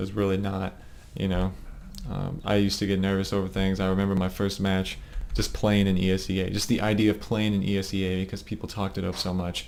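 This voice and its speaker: Very fast and monotone, a man with a very deep, low pitch rattles through his words. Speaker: competitive gamer and team leader. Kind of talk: game demo review for teammates. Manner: casual, fast. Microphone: low quality recording.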